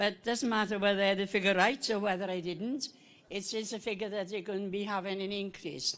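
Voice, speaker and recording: A woman talks at a very fast pace with a medium pitch. Her intonation stays fairly even. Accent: Welsh. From Wales, Rhondda Valley. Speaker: co-op member asking a question at a meeting. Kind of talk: public question at an annual meeting.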